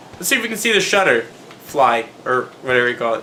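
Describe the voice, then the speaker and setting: Over music in the background, a man talks in an animated tone with audible room echo. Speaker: gaming youtuber. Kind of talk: let's play commentary. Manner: fast.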